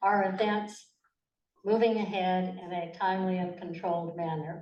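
With a fairly even intonation, a woman speaks at a moderate pace amid audible room echo. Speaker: forum moderator. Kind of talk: moderating candidate forum. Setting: library meeting room with audience. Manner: seated, formal.

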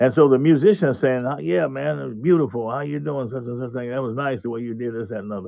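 A man with an American accent talks at a very fast pace with lively intonation. His loudness swings widely over a quiet background. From US Midwest, Kansas City; Missouri. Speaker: drummer; interview guest. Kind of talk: interview; interview answer. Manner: halting. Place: studio. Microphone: video call.

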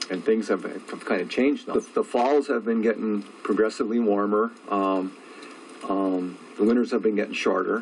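With an American accent and a fairly low pitch, a man talks at a moderate pace with fairly even intonation against noticeable background noise. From Upper Peninsula of Michigan (Wakefield). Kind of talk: interview. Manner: halting, many fillers.

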